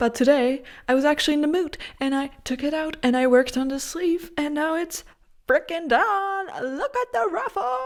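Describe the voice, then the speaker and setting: A woman's high-pitched voice moves at a moderate pace, her intonation lively. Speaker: knitting vlogger. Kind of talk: casual vlog to camera. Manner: animated; quiet.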